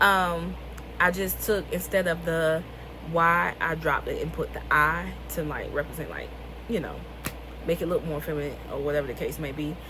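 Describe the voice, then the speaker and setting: With a Southern US accent, a woman talks at a moderate pace, leaving long, frequent pauses. Audible room echo and noticeable background noise fill the recording. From US South, rural North Carolina. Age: 20s. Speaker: author and vlogger. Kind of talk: casual vlog talk.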